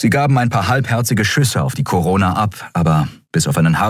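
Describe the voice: This is plain reading aloud. The intonation moves in a lively way.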